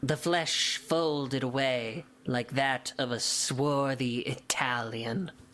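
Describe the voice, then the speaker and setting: A put-on character voice at a low-to-middle pitch, very slow in pace yet with hardly any pauses. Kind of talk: archaic, gothic literary. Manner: grave, theatrical.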